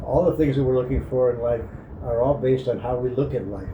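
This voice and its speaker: Noticeable background noise and audible room echo around a man at a medium pitch, speaking at a fairly quick pace with ordinary pitch variation. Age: 60s. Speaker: spiritual life advice giver. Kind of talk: casual reflective monologue.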